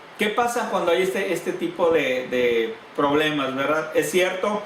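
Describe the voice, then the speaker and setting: A man shouts in a high voice, at a fairly slow pace. Background noise is noticeable, and the room echo is audible. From Sinaloa, Mexico. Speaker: pastor. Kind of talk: sermon. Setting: church congregation. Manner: sounds loud, like shouting or scolding; hesitant, with repeated words.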